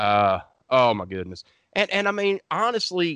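Against a quiet background, a man speaks at a moderate pace with very wide pitch swings, in a dry, close sound with no echo. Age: 40s. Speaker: horror podcast host. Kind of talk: casual chat. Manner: animated.

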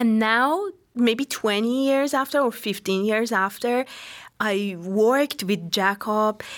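Very slowly and at a very even loudness, a woman talks in a fairly high pitch with ordinary pitch variation. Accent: Iranian. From Tehran, Iran. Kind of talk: casual interview. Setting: studio. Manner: halting, hesitant.

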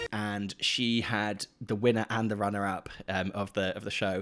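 On a very clean recording with a silent background, a man talks with a British accent. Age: 30s. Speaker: podcast co-host. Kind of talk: casual chat.

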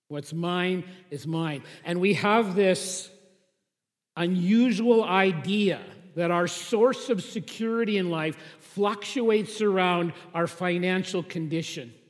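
Audible room echo surrounds a man speaking at a very slow pace. His pitch is high, with ordinary pitch variation. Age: 50s. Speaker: pastor. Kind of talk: sermon.

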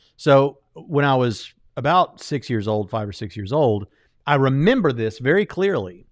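At a moderate pace, a man with an American accent talks in a medium pitch, his voice swinging very widely up and down. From US South, Jacksonville, Florida. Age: 30s. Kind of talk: casual chat. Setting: livestream studio.

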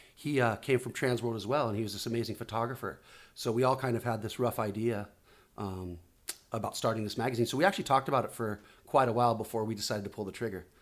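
A man at a very fast pace, with medium pitch and fairly even intonation, on a very clean recording with a silent background. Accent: Southern California. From Oceanside, California, US. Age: 40s. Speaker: magazine publisher and former pro surfer. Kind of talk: casual interview chat.

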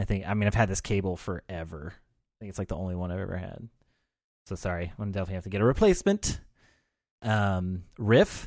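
Over a very clean recording with a silent background, a man speaks at a very fast pace in an animated tone with a fairly low pitch. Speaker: podcast host. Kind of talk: casual banter between co-hosts. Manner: joking, animated.

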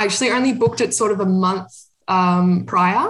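Somewhat breathy, a woman with an Australian accent speaks at a medium pitch and moderate pace. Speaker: amateur runner. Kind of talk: casual chat.

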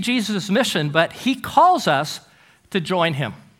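The man's voice has a bright, sharp tone and very wide pitch swings. He talks at a fairly slow pace. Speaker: guest preacher. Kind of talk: sermon.

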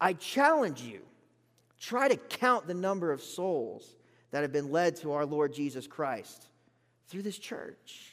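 A man with an American accent speaks at a fairly slow pace in a high voice, his pitch swinging very widely, on a very clean recording with a silent background. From Florida Gulf Coast. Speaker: bible college graduate, preacher. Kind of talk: sermon. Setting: church pulpit with congregation.

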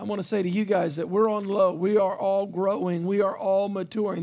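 A man speaks with a Louisiana accent at a moderate pace. His voice is high-pitched and his tone is animated. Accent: US South (Louisiana). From South Louisiana. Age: 50s. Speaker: pastor. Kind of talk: sermon. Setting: church.

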